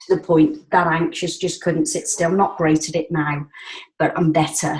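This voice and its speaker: A woman speaks at a moderate pace and a fairly low pitch. Her voice is somewhat breathy. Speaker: support group participant. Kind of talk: casual group call chat. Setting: group call.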